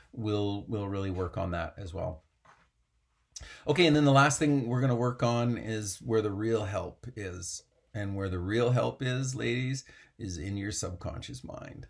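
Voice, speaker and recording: Somewhat breathy, a man speaks at a medium pitch and fairly slow pace. His pitch varies in an ordinary way. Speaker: mental performance coach for equestrian athletes. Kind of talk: motivational coaching talk. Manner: animated.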